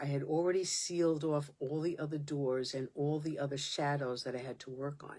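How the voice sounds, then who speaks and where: In a New York accent, a woman with a very deep, low pitch talks at a moderate pace with fairly even intonation. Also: very clean recording, silent background. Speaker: podcast host. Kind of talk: spiritual monologue podcast. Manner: impassioned, emphatic.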